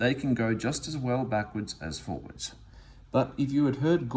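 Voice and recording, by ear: Reading aloud in a natural voice, this speaker shows ordinary pitch variation.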